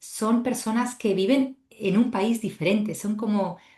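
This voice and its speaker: A woman speaks at medium pitch with a dark, mellow tone and a somewhat breathy quality. The background is quiet. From Spain. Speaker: podcast host and travel coach instructor. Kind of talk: podcast interview.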